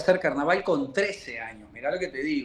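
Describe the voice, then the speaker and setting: A high-pitched male voice with very wide swings in pitch. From Uruguay, Montevideo. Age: 60s. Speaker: murga percussionist. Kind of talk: interview. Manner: halting.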